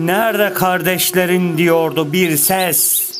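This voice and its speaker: This man's voice sits high in pitch and moves at a very slow pace. Background noise is noticeable. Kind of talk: poetry reading.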